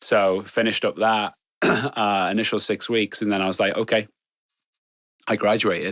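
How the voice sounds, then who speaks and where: Speaking with an English accent at a moderate pace, a man with a fairly low pitch keeps a flat, monotone delivery and takes long, frequent pauses, in a very clean recording with a silent background. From northwest England (Chester). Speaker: security executive. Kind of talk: interview conversation. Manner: hesitant, many fillers.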